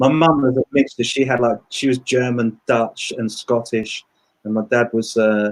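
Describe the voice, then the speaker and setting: A man's medium-pitched voice with an English accent, a moderate pace and fairly even intonation, in a dry, close sound with no echo. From England (London and Brighton). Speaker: musician and producer. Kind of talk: interview. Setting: live video stream. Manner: casual, chatty.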